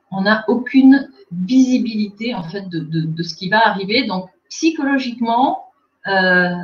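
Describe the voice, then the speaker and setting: Lively intonation in a woman's somewhat breathy speech. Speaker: communication agency director. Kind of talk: webinar presentation.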